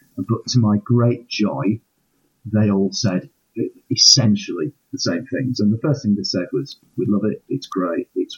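A man talks in a somewhat breathy voice at a medium pitch. The rise and fall of his pitch is ordinary. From northern England, Hull. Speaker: aspiring novelist, university administrator. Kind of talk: interview. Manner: hesitant, many ums.

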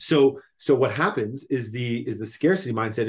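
The man's voice is somewhat breathy and medium in pitch. He talks at a fairly quick pace. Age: 30s. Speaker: entrepreneur. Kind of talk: casual interview chat. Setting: remote call.

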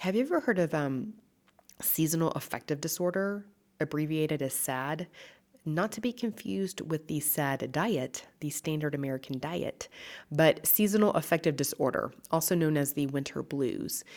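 On a very clean recording with a silent background, a woman with a very deep, low pitch talks at a moderate pace with lively intonation. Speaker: nutritionist podcast host. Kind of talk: solo health talk. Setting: echoey large room with stucco walls. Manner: animated.

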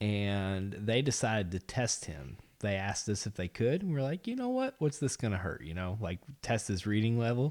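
Speaking with a plain, everyday voice, a man talks at a moderate pace in a fairly low register with lively intonation. The recording is very clean and the background silent. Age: 30s. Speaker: podcast host and pro wrestler. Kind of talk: casual chat.

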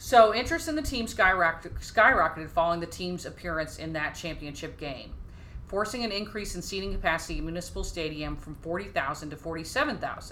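With an American accent and a fairly low pitch, a woman speaks at a fairly quick pace with ordinary pitch variation and big swings in loudness, amid audible room echo and noticeable background noise. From Dallas, Texas. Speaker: podcast co-host. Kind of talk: casual chat.

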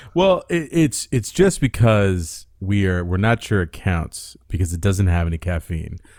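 With a normal speaking voice, this speaker goes at a fairly slow pace with hardly any pauses and lively intonation, in a very clean recording with a silent background. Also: man, fairly low pitch for a man. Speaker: podcast co-host. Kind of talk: casual comedy podcast chat.

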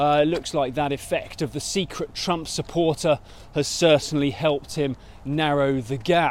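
A man with a British accent, fairly high pitch, fairly even intonation and a moderate pace. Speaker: market news presenter. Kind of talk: market briefing monologue. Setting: outdoors on foot. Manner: casual with filler hesitations.

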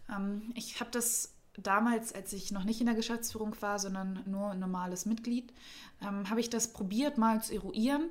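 A woman speaks with a fairly high voice and fairly even intonation. She sounds somewhat breathy. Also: moderate pace. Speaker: civic association director. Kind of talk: casual interview. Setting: studio.

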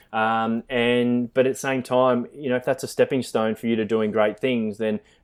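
Speaking in an Australian accent, a man keeps a medium pitch and monotone, flat intonation at a moderate pace. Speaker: zookeeper. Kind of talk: interview.

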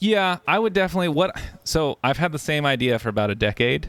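With an American accent, a man in an ordinary speaking voice talks at a moderate pace with lively intonation. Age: 30s. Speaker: podcast host and streamer. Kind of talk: casual chat. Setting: home recording in bedroom.

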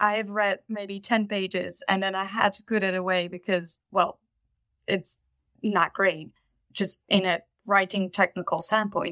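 On a very clean recording with a silent background and a dry, close sound with no echo, a woman with a Dutch accent speaks fairly slowly at a medium pitch, her tone bright and sharp and her intonation monotone and flat. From Netherlands. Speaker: fanfiction writer. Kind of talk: casual interview.

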